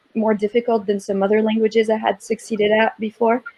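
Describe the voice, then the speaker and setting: A woman with a French accent and a fairly high pitch speaks at a fairly quick pace. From southern France. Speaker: Arabic-speaking professional panelist. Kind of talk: panel discussion.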